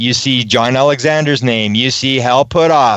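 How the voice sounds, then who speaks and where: This man has an unremarkable speaking voice and keeps a moderate pace. His voice sits fairly high, and his pitch varies in an ordinary way. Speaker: ufology researcher, interview guest. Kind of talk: radio interview answer, conversational storytelling.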